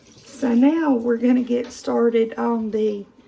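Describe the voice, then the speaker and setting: A woman with a high pitch is heard over noticeable background noise. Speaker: home cooking video host. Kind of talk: cooking tutorial. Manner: casual, with fillers.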